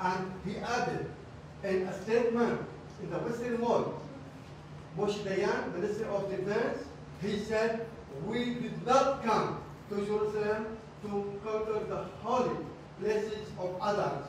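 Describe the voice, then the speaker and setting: A man with a high-pitched voice speaks with long, frequent pauses. Strong room echo and light background noise fill the recording. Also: fairly even intonation, fairly slow pace. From Jerusalem. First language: Arabic. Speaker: Middle East studies scholar. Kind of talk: lecture. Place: meeting room. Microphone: camera far.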